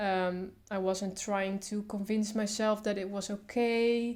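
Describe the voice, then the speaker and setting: The woman speaks at a medium pitch. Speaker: artist, comic strip maker. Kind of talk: casual talk to camera. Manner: stutters.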